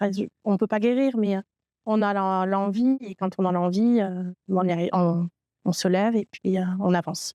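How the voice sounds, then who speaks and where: Medium pitch from a woman at a moderate pace, with fairly even intonation, a dry, close sound with no echo, and a quiet background. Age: 30s. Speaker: trainee in IT training program. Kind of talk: testimony. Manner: halting, many hesitations.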